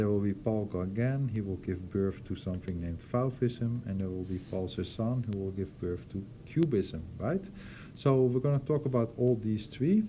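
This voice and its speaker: A man with a Dutch accent speaks at a moderate pace in a fairly low, somewhat breathy voice with a dark, mellow tone, and room echo can be heard. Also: ordinary pitch variation. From Netherlands. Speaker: art teacher. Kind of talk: lecture. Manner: hesitant, many fillers.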